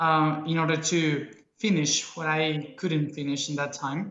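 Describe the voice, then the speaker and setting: A man speaks with fairly high pitch and fairly even intonation, and some room echo can be heard. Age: young. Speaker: spiritual speaker. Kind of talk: interview. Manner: halting.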